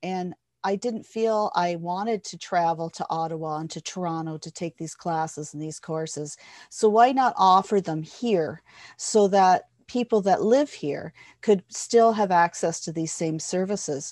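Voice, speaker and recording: In a Canadian accent, a normal speaking voice moves at a fairly slow pace with ordinary pitch variation and big swings in loudness, captured dry and close with no echo on a very clean recording with a silent background. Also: woman, medium pitch for a woman. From Ontario, Canada (Hastings County). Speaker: hypnotherapist and workshop facilitator. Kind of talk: interview.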